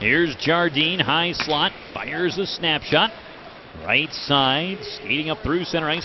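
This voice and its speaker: A man speaks at a fairly high pitch with ordinary pitch variation. The sound is dry with no echo, though background noise is noticeable. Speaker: hockey play-by-play announcer. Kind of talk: live sports commentary (hockey play-by-play). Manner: fast, excitable, rising pitch on goals; clipped, rapid-fire play-by-play delivery. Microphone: headset.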